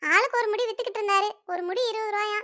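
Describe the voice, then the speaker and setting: A woman's cartoonish character voice, extremely high in pitch, at a moderate pace with fairly even intonation. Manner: warm, chatty, easily amused.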